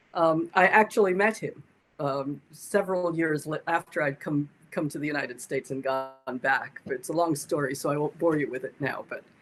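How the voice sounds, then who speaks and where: Over music in the background, a woman with a very deep, low pitch speaks at a moderate pace with ordinary pitch variation. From Jamaica, Kingston. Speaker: meditation teacher. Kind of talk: interview. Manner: halting.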